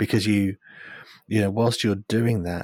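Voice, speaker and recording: In a British accent, a man speaks at a fairly quick pace with monotone, flat intonation, the sound dry and close with no echo. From United Kingdom. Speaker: agile coach. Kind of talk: casual interview chat. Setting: remote call from overseas.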